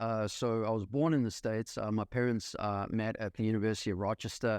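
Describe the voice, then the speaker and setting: A very fast male voice at medium pitch, in a South African accent. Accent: South African accent, still noticeable. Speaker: real estate investor. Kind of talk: podcast interview. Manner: many fillers and hesitations.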